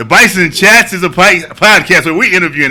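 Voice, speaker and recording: Noticeable background noise runs under this recording. A man with a fairly high pitch talks at a very fast pace. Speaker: podcast host. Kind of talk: casual chat. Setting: studio.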